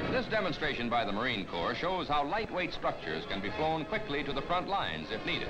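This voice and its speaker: Fairly quick speech from a man over loud background noise. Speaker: newsreel narrator. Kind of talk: 1950s newsreel narration. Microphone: old recording.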